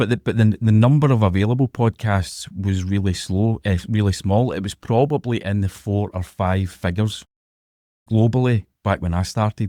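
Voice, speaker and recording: Man with a strong Glasgow accent, fairly low in pitch with ordinary pitch variation and a dark, mellow tone, at a moderate pace, in a dry, close sound with no echo on a very clean recording with a silent background. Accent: strong Glaswegian Scottish. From Scotland, Glasgow. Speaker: podcaster. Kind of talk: interview conversation.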